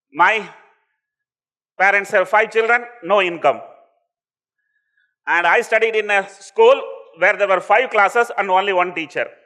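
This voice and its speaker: A raised, projected voice with a bright, sharp tone speaks in a Tamil accent. The pace is moderate, broken by long, frequent pauses. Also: man, high pitch for a man. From India, Tamil Nadu (Coimbatore district village). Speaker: entrepreneur. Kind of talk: motivational talk. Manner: witty.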